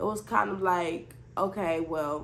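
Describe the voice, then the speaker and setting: A woman speaks with ordinary pitch variation. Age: 20s. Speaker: new mother, vlogger. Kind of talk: casual storytime talk to camera.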